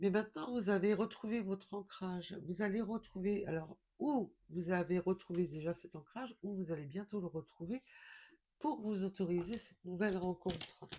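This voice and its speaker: A woman speaks with a dark, mellow tone and ordinary pitch variation. Her pace is fairly slow. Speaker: tarot card reader. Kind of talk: spiritual card reading guidance. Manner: quiet, not loud; hesitant with fillers.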